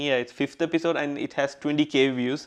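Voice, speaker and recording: With flat, monotone intonation, the man talks at a fairly high pitch. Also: quiet background. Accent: Keralan. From Kerala, southern India. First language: Malayalam. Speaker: podcaster. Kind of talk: casual interview chat.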